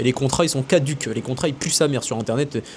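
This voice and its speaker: Words pour out very fast. Behind them, background noise is noticeable. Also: man. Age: 20s. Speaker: business coach and content creator. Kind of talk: casual monologue to camera. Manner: animated.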